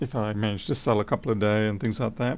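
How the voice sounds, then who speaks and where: A man is speaking. He has an Australian accent. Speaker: electronics repair technician. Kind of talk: livestream repair commentary.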